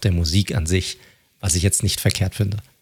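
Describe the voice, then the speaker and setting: A somewhat breathy man's voice, fairly low in pitch. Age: 30s. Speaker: podcast host. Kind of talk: casual chat.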